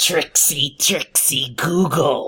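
This is a put-on character voice. It sounds raspy.

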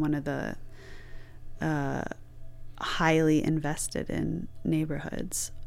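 Audible room echo with music in the background. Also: woman. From Michigan. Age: 40s. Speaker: theater director. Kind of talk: interview.

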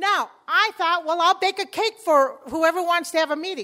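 Extremely high-pitched woman with a bright, sharp tone, a raised, projected voice, lively intonation, and a moderate pace in a very clean recording with a silent background. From Chicago, US. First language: Spanish. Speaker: community organizer. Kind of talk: conference talk.

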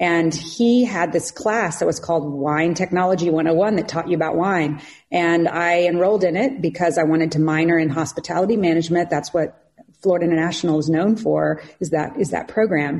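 In a plain, everyday voice, a woman with an American accent talks at a fairly quick pace and fairly low pitch, with very even loudness. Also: ordinary pitch variation. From Southeast Kansas. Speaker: winery marketing director. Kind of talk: interview.

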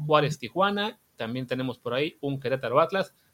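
A man with a normal speaking voice, fairly high in pitch, with lively intonation at a fairly quick pace. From Mexico, Veracruz. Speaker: podcast host. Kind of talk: casual chat.

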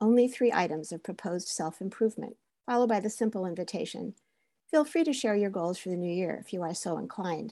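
A woman's dark, mellow voice at medium pitch, lively in intonation and fairly quick in pace, over a quiet background. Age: 70s. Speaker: therapist and essayist. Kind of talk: personal essay read aloud.

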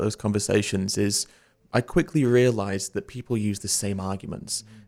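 A man with a dark, mellow tone speaks at a moderate pace on a very clean recording with a silent background. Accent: British. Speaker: vegan educator and activist. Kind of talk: interview conversation.

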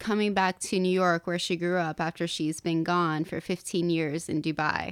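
A woman with an American accent and an ordinary speaking voice talks fairly slowly at a fairly low pitch on a very clean recording with a silent background. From US South, North Carolina (Appalachia). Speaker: novelist. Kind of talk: interview.

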